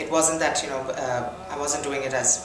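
A woman is speaking with clear music playing behind her. Room echo can be heard around her voice. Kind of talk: interview answer. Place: home room.

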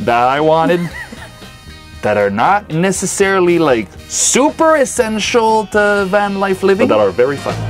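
Over faint background music, a man with a French Canadian accent talks in a high pitch with very wide pitch swings. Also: moderate pace. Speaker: vanlife vlogger. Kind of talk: casual talk to camera. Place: home room. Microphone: lapel.

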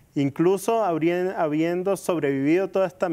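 A man's dark, mellow tone comes through with fairly even intonation at a fairly slow pace. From Venezuela. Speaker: interview guest. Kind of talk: interview. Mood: earnest, calm. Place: studio. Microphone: lapel.

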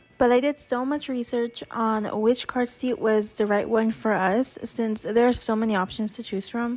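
Woman with a fairly high pitch, music in the background. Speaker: stay-at-home mom. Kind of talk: casual voiceover product review.

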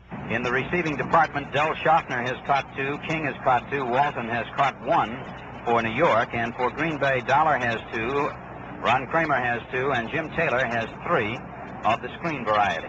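There is noticeable background noise behind a man's voice. The sound is dry with no echo, and his intonation is fairly even. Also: moderate pace. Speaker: radio sports announcer. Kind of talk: sports radio commentary. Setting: stadium broadcast booth. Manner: brisk, steady, crisp play-by-play delivery; formal, polished 1960s broadcaster tone. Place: booth. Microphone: old recording.

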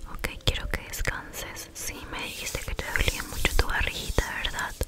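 A soft-spoken woman talks at a moderate pace over loud background noise. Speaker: ASMR creator. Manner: soft, hushed ASMR voice close to mic. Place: home room. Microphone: studio mic.

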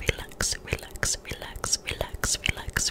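Soft-spoken, a woman whispers. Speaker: ASMR creator. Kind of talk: soft ASMR guided relaxation. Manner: soft close-mic whisper. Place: home room. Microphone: studio mic.

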